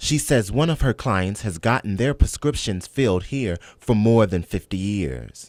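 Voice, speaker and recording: A man speaks in a normal speaking voice at a fairly low pitch, with hardly any pauses. The recording is very clean, with a silent background. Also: lively intonation, moderate pace. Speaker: TV news reporter. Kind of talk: TV news report.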